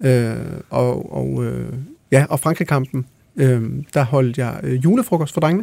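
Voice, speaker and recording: The man's voice has a dark, mellow tone. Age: 30s. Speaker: songwriter and musician. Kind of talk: casual chat.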